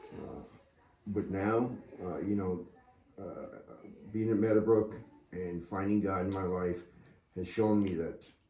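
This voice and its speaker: With an American accent, a man speaks fairly slowly at a fairly low pitch and fairly even intonation, amid noticeable background noise and audible room echo. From Massachusetts. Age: 60s. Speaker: military veteran in recovery. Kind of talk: interview testimony. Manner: halting, many fillers.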